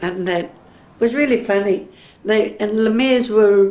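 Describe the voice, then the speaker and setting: The speaker has an Australian accent and fairly even intonation. Noticeable background noise runs underneath. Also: woman. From Sydney, Australia. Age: 70s. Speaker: oral history interviewee. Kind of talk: oral history interview.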